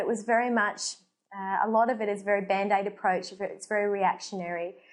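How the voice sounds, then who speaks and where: An Australian-accented woman. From Australia, Gold Coast. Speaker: medical doctor. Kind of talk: casual talk to camera.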